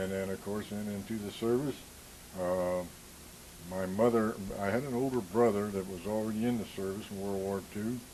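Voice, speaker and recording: With an American accent, a man speaks at a fairly low pitch and a moderate pace. His intonation is fairly even, and audible room echo is present. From US Midwest, central Illinois. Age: 70s. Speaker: war veteran. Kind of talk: oral history interview.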